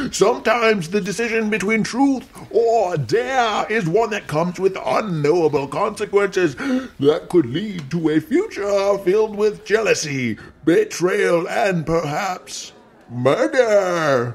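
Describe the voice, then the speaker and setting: A man's put-on character voice, high-pitched, dramatic and sinister in tone, at a fairly slow pace. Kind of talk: horror narration. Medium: audio drama. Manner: dramatic, relishing, sinister.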